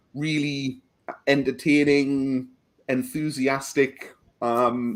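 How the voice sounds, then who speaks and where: The man's pitch sits in the medium range. He keeps a fairly even intonation. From northeast England, County Durham. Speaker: historian. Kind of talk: interview. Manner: hesitant, many fillers.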